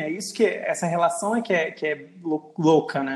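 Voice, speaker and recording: A man's high voice with ordinary pitch variation, a moderate pace and noticeable background noise. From Acre, Brazil (born Rio Grande do Norte). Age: 30s. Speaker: podcast host, journalist. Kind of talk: casual chat.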